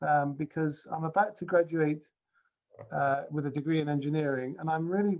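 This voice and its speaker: The speaker talks at a moderate pace with a British accent. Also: man, fairly high pitch for a man, fairly even intonation. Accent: non-Scottish British. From England. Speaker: university principal, speaker. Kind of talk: keynote talk. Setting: video call. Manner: halting, with many fillers.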